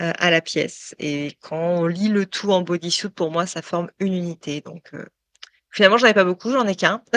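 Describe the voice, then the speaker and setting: A woman with a fairly low voice speaks at a moderate pace, her loudness swinging widely while her pitch varies in an ordinary way, recorded dry and close with no echo against a quiet background. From France, Touraine region. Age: 40s. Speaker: tattooed model. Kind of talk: interview testimony. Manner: hesitant, many fillers.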